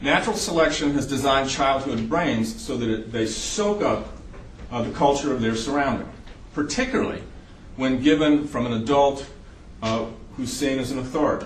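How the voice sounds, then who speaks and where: A man with a slight Southern US accent talks at a moderate pace and a fairly high pitch, with ordinary pitch variation. Noticeable background noise and audible room echo fill the recording. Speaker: psychiatrist lecturer. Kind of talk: lecture.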